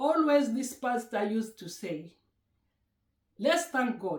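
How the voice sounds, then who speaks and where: A woman's somewhat breathy, fairly slow voice with a Kenyan accent and very wide pitch swings. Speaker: YouTuber. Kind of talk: casual vlog chat. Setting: at home.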